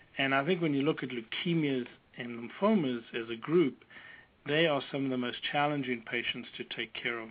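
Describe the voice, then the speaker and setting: A man with a strong South African accent, medium pitch, ordinary pitch variation and a moderate pace. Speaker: oncologist. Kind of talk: expert interview. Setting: phone call.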